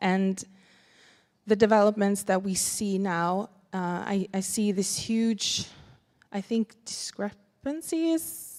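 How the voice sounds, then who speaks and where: Very slow speech with long, frequent pauses, in a Sami accent. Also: woman. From Sapmi (northern Scandinavia). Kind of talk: conference panel talk. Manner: halting, with many fillers and repetitions.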